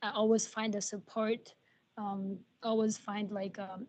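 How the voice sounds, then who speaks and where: Flat, monotone speech from a woman with an Arabic accent, fairly slow, over a quiet background. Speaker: nursing student and patient care assistant. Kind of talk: testimony at a roundtable. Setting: video call. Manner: halting, many fillers.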